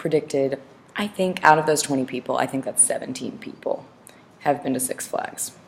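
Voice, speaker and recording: A woman speaks over noticeable background noise. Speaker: teacher. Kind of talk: lecture.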